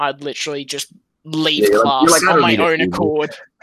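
A man with an Australian accent, fairly high in pitch, with a bright, sharp tone at a moderate pace. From Sydney, Australia. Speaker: podcast guest.

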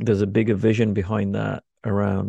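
In a dry, close recording with no echo and a quiet background, a man with a fairly low pitch and a dark, mellow tone speaks at a moderate pace with fairly even intonation. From UK, of North Indian Punjabi family. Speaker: coach and facilitator. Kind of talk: interview.

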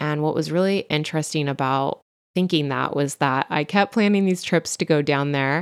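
In a very clean recording with a silent background and a dry, close sound with no echo, a woman with a Californian accent speaks at a moderate pace with very even loudness and a very deep, low pitch. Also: ordinary pitch variation. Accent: Californian Valley Girl. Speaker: podcast host and stylist. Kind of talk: solo podcast storytelling.

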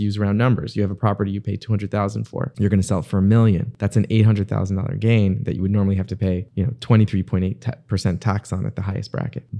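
Speaking at a very fast pace with hardly any pauses, a man with an American accent uses a dark, mellow tone, fairly low pitch and fairly even intonation. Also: very clean recording, silent background. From South Florida, Miami area. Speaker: local politician and accountant. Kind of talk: casual interview.

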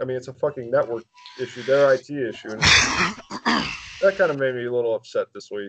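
In an ordinary speaking voice at a medium pitch, a man talks at a moderate pace with lively intonation and big swings in loudness, the sound dry and close with no echo. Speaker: podcast co-host. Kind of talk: casual banter, comedic rants. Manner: ranting, profane.

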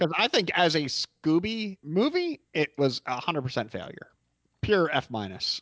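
Moving at a moderate pace, a man with a high voice makes very wide pitch swings. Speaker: podcast co-host. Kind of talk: casual chat.

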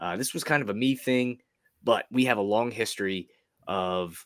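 An ordinary speaking voice with ordinary pitch variation, on a very clean recording against a silent background. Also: man. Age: 30s. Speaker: sports betting podcast host. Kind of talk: casual chat.

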